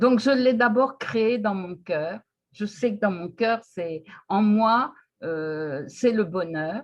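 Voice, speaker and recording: The delivery is very slow, with lively intonation. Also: woman, medium pitch for a woman. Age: 70s. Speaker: retiree interviewed about personal development. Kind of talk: interview. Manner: hesitant.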